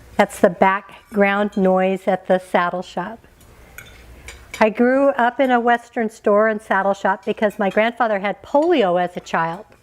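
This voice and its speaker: A woman speaks at a fairly slow pace with an American accent. Her pitch variation is ordinary. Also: medium pitch for a woman. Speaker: keynote speaker. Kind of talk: motivational keynote speech. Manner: humorous.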